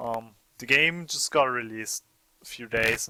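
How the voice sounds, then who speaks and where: A man with a German accent, a bright, sharp tone and a fairly slow pace. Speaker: let's play gamer. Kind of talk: game commentary.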